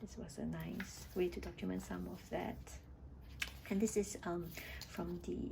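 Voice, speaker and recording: A woman with a Singaporean accent, with audible room echo. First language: not English. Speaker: scrapbooking hobbyist. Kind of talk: scrapbook flip-through. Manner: hesitant, with fillers.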